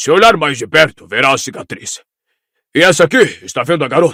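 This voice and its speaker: Pitched fairly high, a man performs a put-on character voice. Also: fairly quick pace, very clean recording, silent background. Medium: audio drama.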